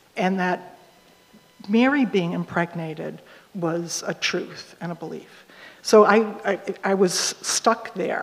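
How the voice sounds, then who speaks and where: The speaker goes at a very slow pace with ordinary pitch variation, long, frequent pauses, and big swings in loudness. Noticeable background noise runs underneath. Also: woman, medium pitch for a woman. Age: 60s. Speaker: hospital chaplain. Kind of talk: panel discussion.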